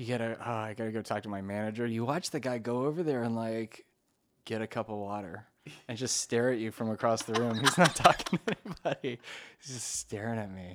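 A man with an American accent speaks at a fairly quick pace in a plain, everyday voice. His pitch sits in the medium range, with ordinary pitch variation. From Maryland. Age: 30s. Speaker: podcast host. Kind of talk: casual chat.

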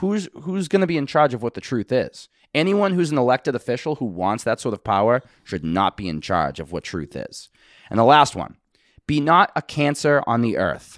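On a very clean recording with a silent background and a dry, close sound with no echo, a man with a Boston accent talks at a moderate pace and medium pitch, swinging very widely in pitch. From Boston, US Northeast. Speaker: musician and podcast co-host. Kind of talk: casual chat.

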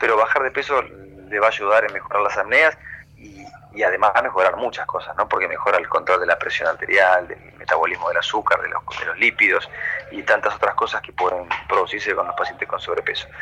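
A man talks at a fairly quick pace while noticeable background noise continues. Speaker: sleep medicine doctor. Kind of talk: radio interview.

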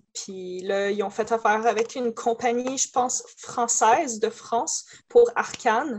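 A fairly high-pitched woman's voice, fairly slow and fairly even in intonation. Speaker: cosplayer. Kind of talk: casual chat.

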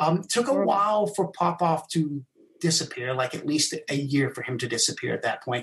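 Moderate pace and ordinary pitch variation over noticeable background noise. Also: man. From England and South Africa. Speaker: mentalist and magician. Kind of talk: casual interview. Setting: live stream video call.

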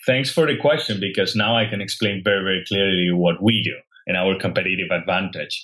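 Talking at a very fast pace, a man with fairly low pitch shows ordinary pitch variation. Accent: Spanish. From Spain (Catalonia). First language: Spanish. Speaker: health tech startup founder. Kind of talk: interview.

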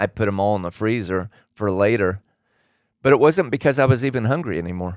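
A man with an American accent talks at a very fast pace in a fairly low pitch, his intonation lively, with long, frequent pauses. The recording is very clean with a silent background. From Oregon. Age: 60s. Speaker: host's father, fitness enthusiast. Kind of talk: casual chat.

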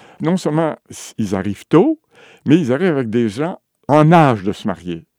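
A man's fairly high voice moves through very wide pitch swings. The recording is very clean with a silent background and a dry, close sound with no echo. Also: long, frequent pauses. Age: old. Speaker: retired demography professor. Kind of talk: interview.

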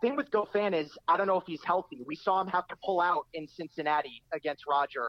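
This man has a high-pitched voice with an American accent. His pitch varies in an ordinary way. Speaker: tennis writer and podcast guest. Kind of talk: casual chat. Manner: energetic, excited.

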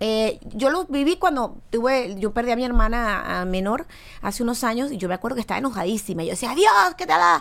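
A woman speaks at a fairly quick pace in a fairly high voice, her pitch swinging very widely. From Venezuela. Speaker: singer. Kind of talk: casual chat.

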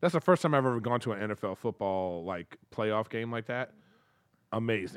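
The clip has an ordinary speaking voice with lively intonation at a fairly quick pace, captured with a dry, close sound with no echo against a quiet background. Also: man, medium pitch for a man. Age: 50s. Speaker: comedian and podcaster. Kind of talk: casual chat.

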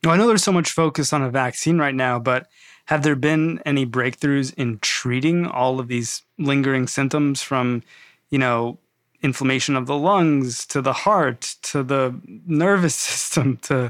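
A man with an ordinary speaking voice talks at a moderate pace, his pitch fairly high with ordinary variation and his loudness very even, on a very clean recording with a silent background. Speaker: podcast host. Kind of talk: interview.

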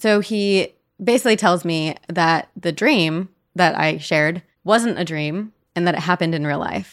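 A woman's ordinary speaking voice, fairly low in pitch, with ordinary pitch variation at a moderate pace on a very clean recording with a silent background. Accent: American. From US Northeast (New Jersey). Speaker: paranormal podcast host. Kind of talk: casual chat.

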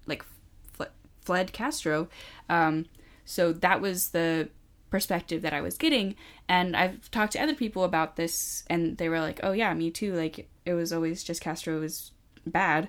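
This woman has a plain, everyday voice, fairly low in pitch, with ordinary pitch variation. She talks at a moderate pace on a very clean recording with a silent background. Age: young. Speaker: podcast host, college student. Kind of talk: casual chat.

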